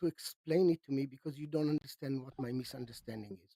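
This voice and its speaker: This man has a dark, mellow tone and a non-native accent. He talks at a fairly quick pace in a dry, close sound with no echo. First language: not English. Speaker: atheist debater. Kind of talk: heated debate. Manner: halting.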